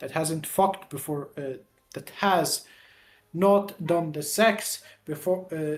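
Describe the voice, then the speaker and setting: Very slow speech in an Arabic accent, with long, frequent pauses. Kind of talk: casual chat. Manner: halting.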